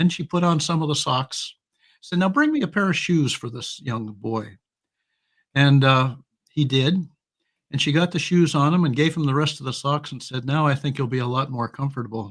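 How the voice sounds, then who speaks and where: On a very clean recording with a silent background, a man speaks in a fairly high, somewhat breathy voice. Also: ordinary pitch variation, moderate pace. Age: 80s+. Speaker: humor email writer and author. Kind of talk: interview; storytelling. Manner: halting.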